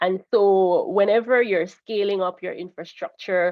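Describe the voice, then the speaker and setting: Her voice is an unremarkable speaking voice. The woman talks at a moderate pace, her pitch varying in an ordinary way. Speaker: government crime data coordinator. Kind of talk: webinar presentation.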